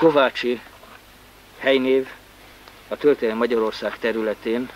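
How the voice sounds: The man talks at a medium pitch with ordinary pitch variation.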